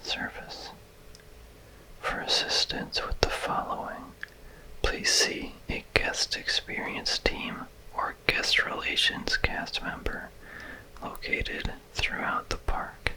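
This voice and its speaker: Whispering at a very slow pace in a calm tone, with noticeable background noise. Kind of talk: ASMR whispered reading. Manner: whispered, soft-spoken; slow, calm.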